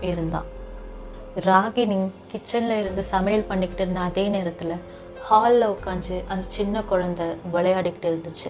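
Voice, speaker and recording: A woman speaks with a monotone, flat intonation. Music plays in the background. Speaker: story narrator. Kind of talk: horror story narration.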